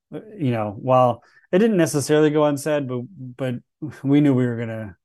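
A man's plain, everyday voice at a moderate pace, with ordinary pitch variation and a quiet background. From US South, Charleston, South Carolina. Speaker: Marine veteran and cybersecurity executive. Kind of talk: interview conversation.

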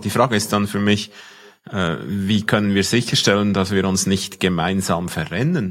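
Here a man speaks with a Swiss accent. His pitch is fairly low. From Switzerland. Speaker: podcast co-host. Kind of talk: casual discussion.

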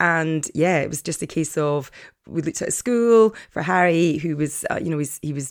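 On a very clean recording with a silent background, a woman with an Edinburgh accent speaks at a moderate pace, her fairly low pitch showing ordinary variation. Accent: Scottish (Edinburgh). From Scotland, Edinburgh. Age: 50s. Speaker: podcast host, life coach. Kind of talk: casual monologue. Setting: home study.

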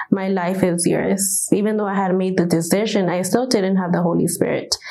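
Here a woman talks at a fairly quick pace. Noticeable background noise and audible room echo are present. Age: 20s. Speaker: church member giving testimony. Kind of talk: testimony.

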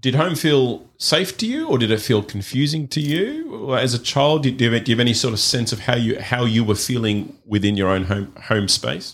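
A man's normal speaking voice at medium pitch, fairly quick, with hardly any pauses and lively intonation. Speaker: podcast host. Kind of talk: interview.

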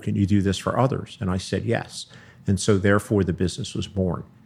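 In a very clean recording with a silent background, a man with an American accent speaks at a fairly quick pace, his fairly low voice showing vocal fry. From Philadelphia. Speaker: accountant and tax advisor. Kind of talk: interview.

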